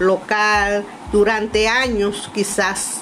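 A woman at medium pitch with a Dominican accent, amid noticeable background noise and audible room echo. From Dominican Republic, Montecristi. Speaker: cultural manager and consultant. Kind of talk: personal storytelling narration.

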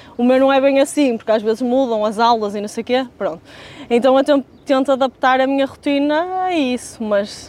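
Over noticeable background noise, a woman speaks at a moderate pace and high pitch with ordinary pitch variation. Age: 20s. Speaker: fitness trainer. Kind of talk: casual chat.

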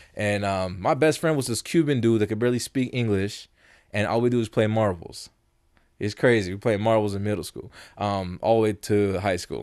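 A man with an American accent, a normal speaking voice, a fairly low pitch, ordinary pitch variation and a fairly quick pace, against a quiet background. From Las Vegas, US. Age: 30s. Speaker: beatboxer and producer. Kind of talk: casual chat.

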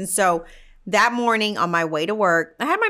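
A woman speaks over noticeable background noise. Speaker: podcast co-host, salon worker. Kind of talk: casual chat.

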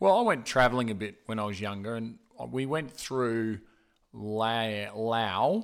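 This man's voice is loud and medium in pitch. He speaks at a fairly slow pace. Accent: Australian. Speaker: podcast co-host. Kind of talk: casual chat. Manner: loud and animated.

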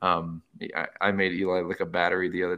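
A man with an American accent speaks at a fairly quick pace in a very deep, low voice. His tone is bright and sharp, and his intonation stays monotone and flat. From Arizona. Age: 30s. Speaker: coffee shop owner, military veteran. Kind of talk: casual interview chat.

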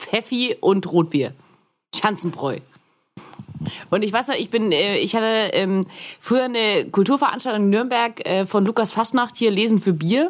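Lively intonation marks a woman's fairly slow speech, broken by long, frequent pauses. The recording is very clean, with a silent background. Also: fairly high pitch for a woman. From Augsburg, Bavarian Swabia. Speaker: podcaster and filmmaker. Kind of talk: casual chat.

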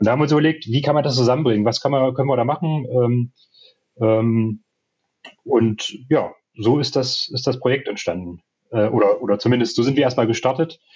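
With very even loudness and long, frequent pauses, a man speaks in a somewhat breathy, medium-pitched voice with ordinary pitch variation. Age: 30s. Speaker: entrepreneur and SEO manager. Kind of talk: casual interview. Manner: hesitant with many fillers.

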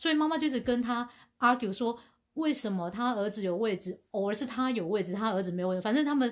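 Very fast and lively in intonation, a woman speaks at a fairly high pitch on a very clean recording with a silent background. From Asia. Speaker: podcast co-host. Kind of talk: casual chat.

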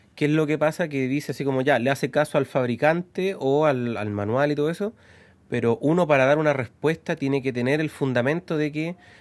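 A man with a Chilean accent and a fairly high pitch, in a very clean recording with a silent background. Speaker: mechanic, podcast co-host. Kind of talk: casual chat.

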